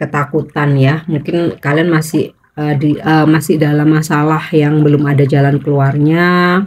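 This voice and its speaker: A woman speaks with a very deep, low pitch in a monotone, flat intonation. Her loudness stays very even, and she goes at a fairly slow pace with hardly any pauses. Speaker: tarot reader. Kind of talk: tarot reading monologue. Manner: slow, unhurried.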